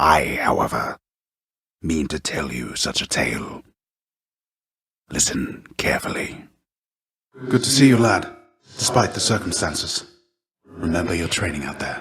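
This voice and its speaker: In a put-on character voice, a man speaks with a very deep, low pitch and a raspy sound, swinging very widely in pitch. He keeps a moderate pace broken by long, frequent pauses. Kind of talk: game voice lines. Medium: dub. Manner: solemn, theatrical, dryly ironic.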